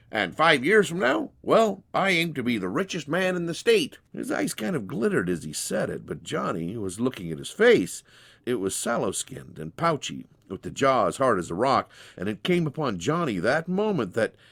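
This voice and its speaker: A man of medium pitch talks at a moderate pace with very wide pitch swings and vocal fry. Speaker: storyteller. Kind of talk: dramatized short story reading.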